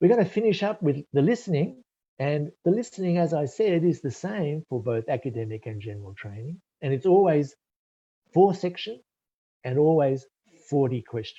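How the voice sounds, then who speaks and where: A man with an Australian accent, fairly high-pitched, somewhat breathy and dark and mellow in tone, with very wide pitch swings, a moderate pace and a quiet background. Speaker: IELTS test preparation expert. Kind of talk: webinar presentation. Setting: live online webinar.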